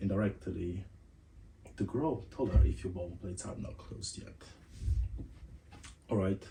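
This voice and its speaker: A man speaks with a non-native accent and a very deep, low pitch. Room echo is audible. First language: not English. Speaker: podcast host. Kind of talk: casual monologue. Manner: casual, conversational.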